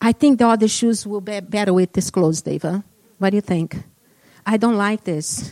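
At a moderate pace, a woman speaks with a dark, mellow tone at medium pitch and ordinary pitch variation, in a dry, close sound with no echo. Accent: non-native. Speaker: guest preacher. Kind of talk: sermon. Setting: church.

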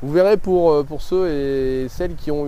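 Background noise is clearly heard here. A man talks through it at a moderate speed. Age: 30s. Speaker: life coach and video creator. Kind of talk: vlog monologue to camera. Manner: hesitant, many fillers.

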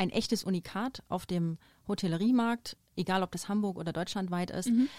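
A woman with a normal speaking voice talks at a moderate pace and medium pitch with ordinary pitch variation, in a dry, close sound with no echo on a very clean recording with a silent background. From eastern Germany, near Dresden. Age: 30s. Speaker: hotel HR director. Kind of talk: podcast interview. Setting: studio.

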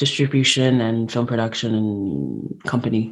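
A woman talks at a fairly slow pace. She has an American accent. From New York City. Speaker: podcast host. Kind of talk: interview conversation.

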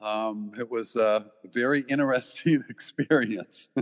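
In a normal speaking voice, a man talks at a fairly slow pace with a dry, close sound and no echo. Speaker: volunteer who travelled to the village. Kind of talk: interview.

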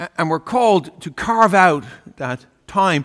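A man with an Irish accent speaks with lively intonation. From Ireland. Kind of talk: sermon. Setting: church. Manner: halting.

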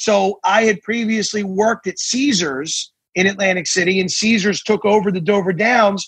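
An American-accented man with a high voice and fairly even intonation. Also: moderate pace. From New Jersey. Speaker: attorney. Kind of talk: interview.

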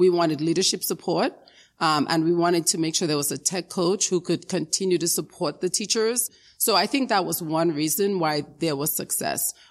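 A woman with a plain, everyday voice speaks at a moderate pace on a very clean recording with a silent background. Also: fairly low pitch for a woman, ordinary pitch variation. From Dominica, then South Bronx, New York. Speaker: education foundation executive. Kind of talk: interview.

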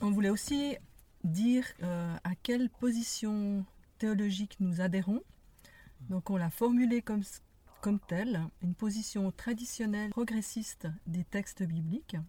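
A woman speaks fairly slowly in a medium pitch, with a dark, mellow, somewhat breathy tone. She leaves long, frequent pauses and uses ordinary pitch variation. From Geneva, Switzerland. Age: 60s. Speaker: podcast co-host. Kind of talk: casual conversation. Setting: in a parked car.

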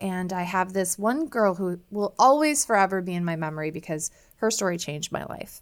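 A woman speaks in a normal speaking voice with an American accent, her pitch medium. Her pace is moderate with ordinary pitch variation, and the recording is very clean with a silent background. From US Midwest (Iowa). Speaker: naturopathic physician and mental health expert. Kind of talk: interview.

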